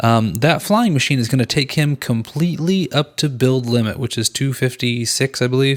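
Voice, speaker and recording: A man with an unremarkable speaking voice at medium pitch talks at a moderate pace with hardly any pauses, very even loudness and ordinary pitch variation. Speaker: gaming YouTuber. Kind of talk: gameplay commentary.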